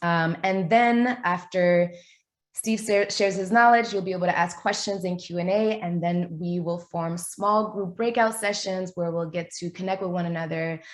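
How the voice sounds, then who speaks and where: Over a quiet background, a woman with an American accent and an unremarkable speaking voice talks at a medium pitch and a moderate pace, keeping her intonation fairly even. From New York. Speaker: event host. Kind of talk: webinar introduction. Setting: video call.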